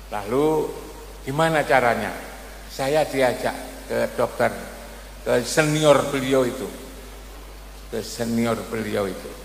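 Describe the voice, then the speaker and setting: A man speaks at a very slow pace with long, frequent pauses. Audible room echo and noticeable background noise surround him. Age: 70s. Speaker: Islamic preacher and professor. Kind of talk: religious sermon. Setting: religious gathering at a boarding school.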